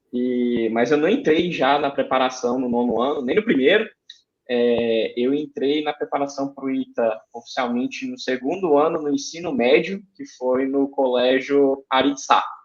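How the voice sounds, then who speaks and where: A man with a Ceará accent, fairly high-pitched, ordinary pitch variation, fairly slow pace. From Brazil, Ceará (Fortaleza). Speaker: aeronautical engineer, guest. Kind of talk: interview, personal story. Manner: hesitant, with fillers.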